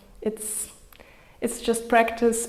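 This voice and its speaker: A woman with a non-native accent speaks in a calm tone at a fairly high pitch, with audible room echo and noticeable background noise. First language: not English. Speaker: yoga instructor. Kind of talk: guided yoga class. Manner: calm, encouraging.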